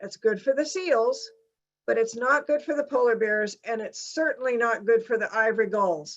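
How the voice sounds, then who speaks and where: Lively intonation runs through a plain, everyday voice delivered at a moderate pace. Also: woman, fairly high pitch for a woman. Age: 60s. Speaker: climate scientist. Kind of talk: lecture. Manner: casual, conversational.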